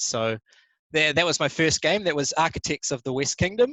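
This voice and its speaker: A man with a New Zealand accent at a moderate pace. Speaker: board game designer. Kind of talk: conference talk. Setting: live stream.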